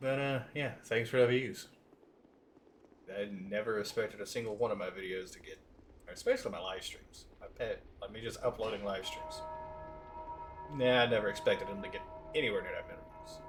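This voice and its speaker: Over music in the background, a man talks at a fairly quick pace with big swings in loudness and long, frequent pauses. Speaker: gaming streamer. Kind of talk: live stream commentary. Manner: casual, hesitant with fillers.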